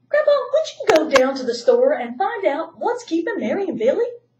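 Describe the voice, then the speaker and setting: Squeaky and extremely high, a woman's put-on character voice moves fairly quickly with very wide pitch swings. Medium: read story.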